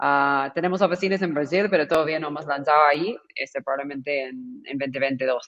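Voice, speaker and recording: With an American accent, a woman talks at a fairly quick pace with hardly any pauses, her very deep, low pitch showing ordinary variation while her loudness swings widely. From California, US. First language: English (speaking Spanish). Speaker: startup founder. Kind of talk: panel discussion.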